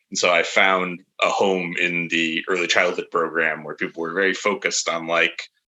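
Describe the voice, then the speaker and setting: Speaking at a moderate pace with hardly any pauses, a man talks in a very deep, low voice with monotone, flat intonation. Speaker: early childhood teacher. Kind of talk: podcast interview.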